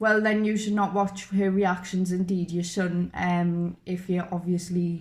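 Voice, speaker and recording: With a Geordie accent, a woman speaks at a moderate pace in a medium-pitched, somewhat breathy voice with monotone, flat intonation. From northern England, Newcastle. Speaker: YouTuber, reaction channel. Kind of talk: casual chat. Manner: halting.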